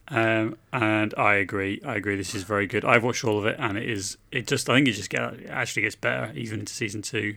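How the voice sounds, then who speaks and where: A man's fairly low, vocal-fried voice with an English accent, a bright, sharp tone and ordinary pitch variation, at a very fast pace with hardly any pauses, on a very clean recording with a silent background. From England. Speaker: podcast co-host. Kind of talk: casual chat.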